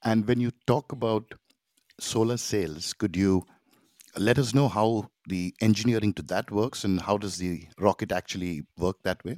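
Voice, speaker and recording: A man with an unremarkable speaking voice talks at a moderate pace in a fairly low pitch, with ordinary pitch variation. The sound is dry and close with no echo, on a very clean recording with a silent background. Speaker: podcast host. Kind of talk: interview.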